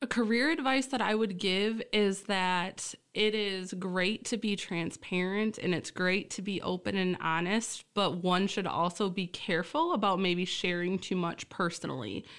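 A woman with an American accent and an ordinary speaking voice, at a medium pitch with ordinary pitch variation, a fairly slow pace and hardly any pauses, over a quiet background. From Michigan (Essexville, near Bay City). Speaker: college administrator. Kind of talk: interview.

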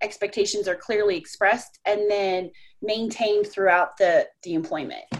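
A woman with a medium pitch and a normal speaking voice talks at a moderate pace. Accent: American. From Colorado. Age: 40s. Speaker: short-term rental host. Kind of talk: interview.

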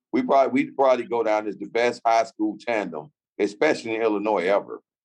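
With ordinary pitch variation, an unremarkable speaking voice moves along at a fairly quick pace. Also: man. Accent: American. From Chicago, US. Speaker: former pro basketball player. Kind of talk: interview.

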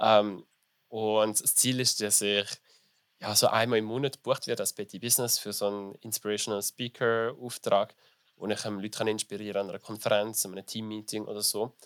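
A man speaks at a fairly quick pace, his fairly low voice held in a monotone, flat intonation. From Switzerland, small village. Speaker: business graduate and drag performer. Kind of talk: interview. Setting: festival.

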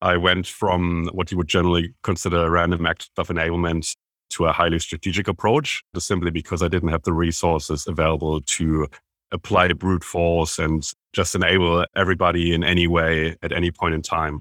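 Speaking with a German accent, a man has a very deep, low pitch. His intonation is monotone and flat, at a fairly quick pace. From Germany. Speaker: sales enablement consultant. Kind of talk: interview.

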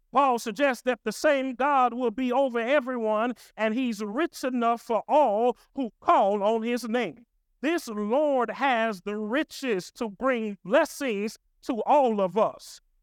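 The speech comes at a very slow pace in a very clean recording with a silent background. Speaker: pastor. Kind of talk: sermon. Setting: church or stage with live congregation. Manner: rising, rhythmic preacher cadence with call-and-response, building to a shout; animated, repetitive build-up of parallel phrases.

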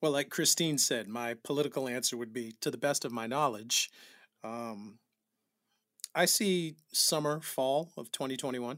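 A man with an American accent speaks at a moderate pace in an unremarkable speaking voice, his pitch medium and its variation ordinary, on a very clean recording with a silent background. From New Bedford, Massachusetts. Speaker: music director and producer. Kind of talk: interview.

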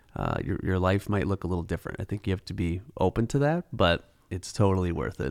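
A man in an American accent talks at a fairly quick pace with a very deep, low pitch, vocal fry and ordinary pitch variation. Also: hardly any pauses, very clean recording, silent background. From Minnesota, Twin Cities southwest metro. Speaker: adoptive father and school operations business owner. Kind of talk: casual interview.

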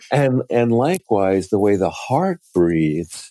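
Very slow and lively in intonation, a man's dark, mellow voice comes through dry and close with no echo. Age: 60s. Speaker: author and poet. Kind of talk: interview conversation.

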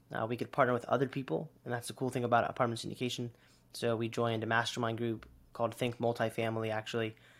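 A man speaks very fast at a medium pitch, monotone and flat. Behind him the recording is very clean, with a silent background. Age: 20s. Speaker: real estate investor. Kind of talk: interview.

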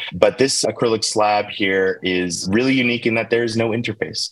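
In a normal speaking voice with an American accent, the speaker moves at a fairly quick pace with fairly even intonation. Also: man. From US, Baltimore, Maryland. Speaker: tech company founder. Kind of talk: interview.

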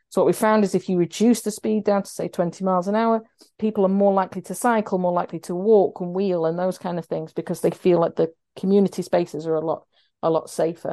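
A woman's medium-pitched voice with a South Yorkshire accent, very fast and fairly even in intonation, dark and mellow in tone, dry and close with no echo, against a quiet background. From Sheffield, South Yorkshire. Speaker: road safety charity campaigns manager. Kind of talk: interview.

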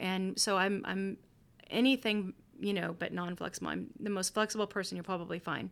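With a plain, everyday voice and an American accent, a woman speaks at a fairly quick pace and medium pitch in a very clean recording with a silent background. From Missouri, Kansas City. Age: 40s. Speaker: podcast host and pastor. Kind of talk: bible teaching; casual chat.

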